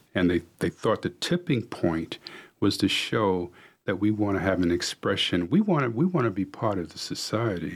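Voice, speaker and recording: In a plain, everyday voice, a man with an American accent talks at a moderate pace, his fairly low pitch showing ordinary variation. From US Northeast, New York City. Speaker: executive coach. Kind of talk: radio interview. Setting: radio studio.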